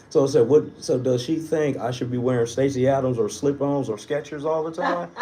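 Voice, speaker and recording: Over noticeable background noise, a man with a fairly high pitch speaks at a fairly quick pace with fairly even intonation. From Wisconsin, US Midwest (Milwaukee). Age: 40s. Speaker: comedian. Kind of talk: casual chat.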